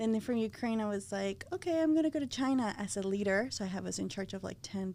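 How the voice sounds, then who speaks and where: At a fairly quick pace, a woman with a Spanish accent speaks in a medium pitch in a very clean recording with a silent background. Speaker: floral designer. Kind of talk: interview conversation. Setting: podcast recording.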